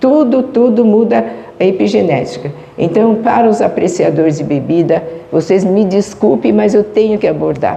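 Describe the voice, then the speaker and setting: A woman with very wide pitch swings and very even loudness at a moderate pace, amid audible room echo and noticeable background noise. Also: medium pitch for a woman. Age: 70s. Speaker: spiritist lecturer. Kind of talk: lecture. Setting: spiritist center with audience.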